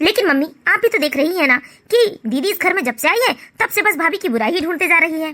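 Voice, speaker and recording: Doing a cartoonish character voice, a woman talks very fast at an extremely high pitch with very wide pitch swings. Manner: witty, mocking.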